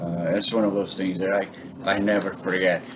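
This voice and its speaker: A man talks at a fairly low pitch. There is audible room echo and noticeable background noise. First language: Portuguese. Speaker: bonsai hobbyist vlogger. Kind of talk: casual vlog talk. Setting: home kitchen. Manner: halting, many fillers.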